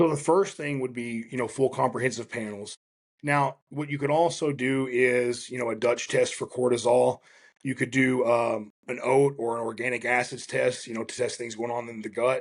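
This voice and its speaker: With a quiet background, a man talks at a medium pitch with fairly even intonation. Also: moderate pace. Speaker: strength and fitness coach. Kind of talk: interview conversation.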